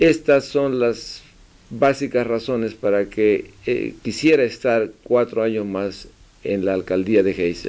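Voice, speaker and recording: A man at a very slow pace with ordinary pitch variation. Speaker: community news host and interpreter; community news host. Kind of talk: interview with live interpretation. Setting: mayor's office. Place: office. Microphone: podium.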